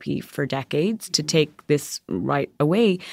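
A woman with an Irish accent and a very deep, low pitch, in a very clean recording with a silent background and a dry, close sound with no echo. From Ireland. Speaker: magazine editor. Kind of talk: interview conversation.

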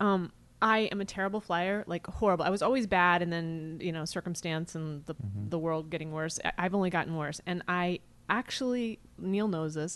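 In a normal speaking voice, a woman with an American accent talks at a moderate pace, her pitch fairly low with ordinary variation. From US Midwest. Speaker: actress and writer. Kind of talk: casual chat.

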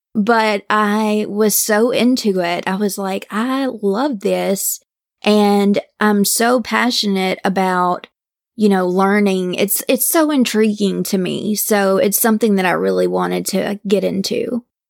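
At a fairly slow pace, a woman with an American accent and a medium pitch speaks with fairly even intonation in a very clean recording with a silent background. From Mississippi, US South. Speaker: true crime podcaster. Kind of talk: case storytelling; casual interview chat.

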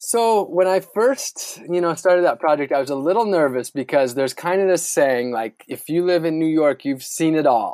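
A plain, everyday voice from a man with an American accent, fairly high pitch, lively intonation, moderate pace and hardly any pauses, on a very clean recording with a silent background and a dry, close sound with no echo. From US Midwest, northern Wisconsin. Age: 30s. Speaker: sustainability activist and adventurer. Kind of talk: interview.

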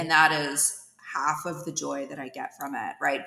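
Against noticeable background noise, a woman with an American accent speaks at a moderate pace in a very deep, low voice with ordinary pitch variation. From US West Coast, East Bay of San Francisco Bay Area. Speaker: tech startup founder and CEO. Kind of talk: podcast interview.

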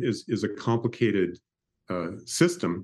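Using vocal fry, a man talks at a moderate pace with very wide pitch swings. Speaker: pharmaceutical consultant and author. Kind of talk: interview discussion. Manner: hesitant with fillers.

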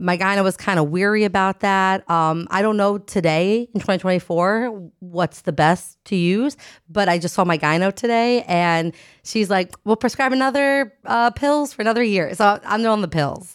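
A woman with an American accent, a plain, everyday voice, talks at a moderate pace and medium pitch with ordinary pitch variation and very even loudness, recorded very cleanly over a silent background. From New Jersey. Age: 30s. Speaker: comedian. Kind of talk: casual chat.

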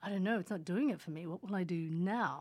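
With an Australian accent, a woman speaks in a calm tone at a fairly low pitch, her pitch varying an ordinary amount. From Australia, Sydney; born in Indonesia. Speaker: hypnotherapist and meditation teacher. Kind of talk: casual interview. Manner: calm, laughs often.

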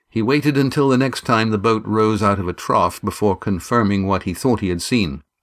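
A man with a normal speaking voice talks at a fairly quick pace in a fairly low pitch, with hardly any pauses. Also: ordinary pitch variation. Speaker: audiobook narrator and author. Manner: measured, vivid storytelling pace with gruff gravelly tone shifts for sailors' dialogue.

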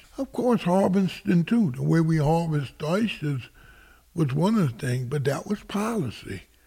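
The voice is somewhat breathy with a dark, mellow tone, moving at a fairly slow pace with lively intonation. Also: man. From south Louisiana, Plaquemines Parish. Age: 60s. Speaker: oysterman. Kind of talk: interview. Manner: halting, many fillers.

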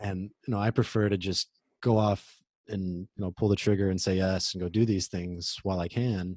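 An American-accented man speaks at a moderate pace with a fairly low pitch and a monotone, flat intonation, in a dry, close sound with no echo. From Oklahoma. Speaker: author and traveler. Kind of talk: interview.

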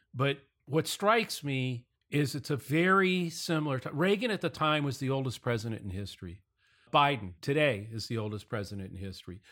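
On a very clean recording with a silent background, a man with a bright, sharp tone speaks at a fairly quick pace through very wide pitch swings. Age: 60s. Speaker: podcast host. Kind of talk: casual political podcast discussion.

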